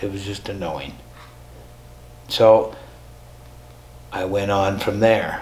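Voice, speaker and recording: A man's voice at a fairly slow pace, with audible room echo. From US Midwest, North Dakota. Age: 70s. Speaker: spiritual teacher. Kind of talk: personal testimony. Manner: conversational, with hesitations.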